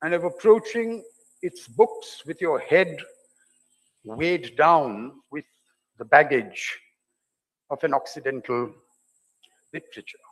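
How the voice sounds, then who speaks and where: Speaking with an Indian accent, a man uses a high pitch, big swings in loudness, and long, frequent pauses. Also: lively intonation, fairly slow pace. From India (Delhi). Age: 60s. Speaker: novelist. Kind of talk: lecture. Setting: open-air theatre with audience.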